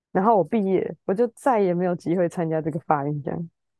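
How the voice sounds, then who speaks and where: A woman speaks at a fairly quick pace in a fairly low pitch. Hers is an unremarkable speaking voice. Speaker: musician. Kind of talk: casual chat.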